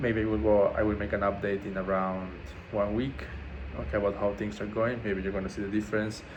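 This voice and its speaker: A man's fairly low voice with a non-native accent, a fairly quick pace, and audible room echo. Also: ordinary pitch variation. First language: not English. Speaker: vlogger documenting a fast. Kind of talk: casual video diary. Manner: halting, many fillers.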